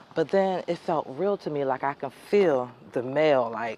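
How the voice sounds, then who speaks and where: This woman has a very deep, low pitch and lively intonation. She speaks at a fairly slow pace over noticeable background noise. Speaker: vlogger sharing personal stories. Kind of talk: casual storytelling monologue. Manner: halting.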